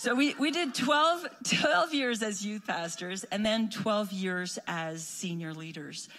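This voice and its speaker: A woman speaks very slowly with a slight French Canadian accent, her pitch swinging very widely. Noticeable background noise sits behind her. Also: medium pitch for a woman. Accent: lightly French Canadian-accented English. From Quebec. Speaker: missionary. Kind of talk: church greeting. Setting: church.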